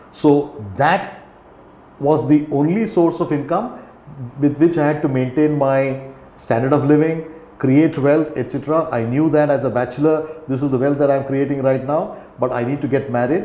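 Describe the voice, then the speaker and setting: The speaker has an Indian accent and talks at a moderate pace. Audible room echo and noticeable background noise are present. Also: man. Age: 60s. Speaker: company founder and CEO. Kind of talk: podcast interview. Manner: halting.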